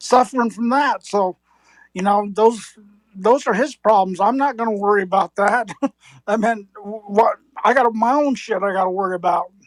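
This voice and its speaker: At a moderate pace, a woman in a normal speaking voice talks fairly high in pitch with ordinary pitch variation. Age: 60s. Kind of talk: heated debate.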